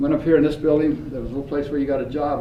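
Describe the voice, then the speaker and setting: Talking at a very fast pace, a man with an American accent and a fairly high pitch is heard with audible room echo and noticeable background noise. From US West, rural Idaho. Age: 80s+. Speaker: business owner and speaker. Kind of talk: speech to a class. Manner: animated.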